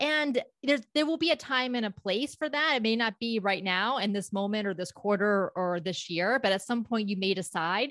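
A woman with a plain, everyday voice and an American accent, fairly high in pitch with lively intonation, dry and close with no echo over a quiet background. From US South, South Florida (Palm Beach County). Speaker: public speaking coach and company founder. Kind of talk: interview.

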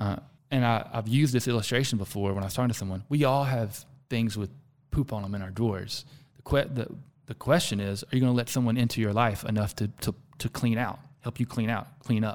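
A man with an American accent talks at a fairly quick pace in a plain, everyday voice, with medium pitch and fairly even intonation. The recording is very clean, with a silent background. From US South. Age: 40s. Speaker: executive coach and founder. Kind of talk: casual interview conversation.

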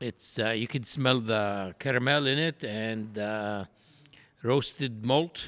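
A man's medium-pitched voice in an Arabic accent, bright and sharp in tone at a very slow pace, on a very clean recording with a silent background. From Palestine. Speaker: brewery founder. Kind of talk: interview. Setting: at a brewery.

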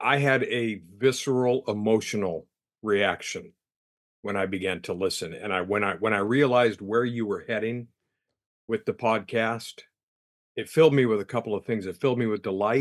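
An unremarkable speaking voice from a man, medium in pitch, with ordinary pitch variation at a moderate pace. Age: 60s. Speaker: guest, prayer group member. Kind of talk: casual conversation.

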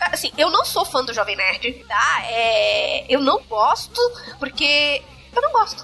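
Music plays in the background as a woman speaks at a very slow pace. Her voice is raised and projected. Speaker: podcast host. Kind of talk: casual panel discussion. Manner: energetic, intense.

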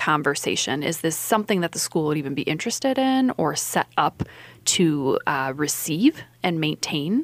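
In a normal speaking voice, a woman talks at a moderate pace with lively intonation and fairly low pitch, the sound dry and close with no echo. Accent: American. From Iowa. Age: 30s. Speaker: lawyer. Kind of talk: radio interview. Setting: radio studio.

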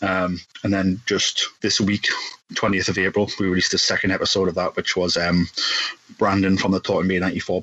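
With a Geordie accent, the speaker talks at a moderate pace in a monotone, flat intonation over noticeable background noise. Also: man. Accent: Geordie (Newcastle) English. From northeast England, Newcastle. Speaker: podcast host guesting on another show. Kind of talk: casual chat.

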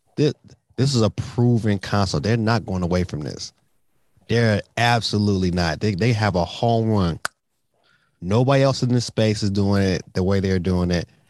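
A man with an American accent and fairly low pitch, a plain, everyday voice at a moderate pace with ordinary pitch variation, in a dry, close sound with no echo. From Detroit, US. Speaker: gaming YouTuber. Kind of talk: casual chat.

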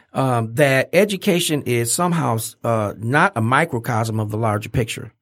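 The man has an unremarkable speaking voice, pitched at a medium level with lively intonation. He keeps a moderate pace on a very clean recording with a silent background. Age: 60s. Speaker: educator. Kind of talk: casual chat. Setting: studio.

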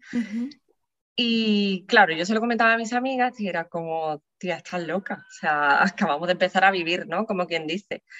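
A woman's bright, sharp voice at medium pitch and moderate pace, with ordinary pitch variation. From Andalusia, Spain (San Fernando, Cádiz). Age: 20s. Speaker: perinatal psychologist. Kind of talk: interview, personal testimony. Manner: hesitant, many fillers.

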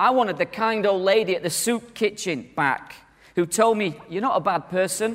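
With an animated tone, a man speaks in a high pitch at a moderate pace. His pitch varies in an ordinary way. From northern England. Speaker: conference speaker, church minister. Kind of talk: conference talk.

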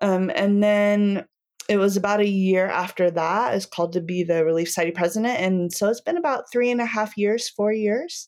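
An unremarkable speaking voice moves at a moderate pace with ordinary pitch variation. Its loudness stays very even. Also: woman, medium pitch for a woman. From US, Wyoming (Cody). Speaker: speech pathologist and church women's leader. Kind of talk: casual interview.

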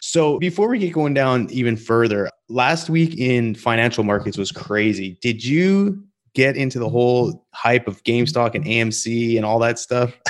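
Lively intonation marks this delivery, which comes at a moderate pace. It is a normal speaking voice. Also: man, medium pitch for a man. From Calgary, Alberta, Canada. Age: 30s. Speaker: podcast host. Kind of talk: casual interview chat. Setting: video call.

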